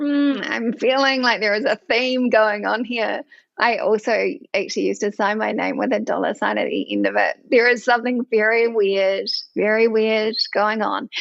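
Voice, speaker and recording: A woman with a fairly high pitch and a New Zealand accent. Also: fairly even intonation, moderate pace. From New Zealand, rural Bay of Plenty. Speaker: finance executive. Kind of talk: podcast interview.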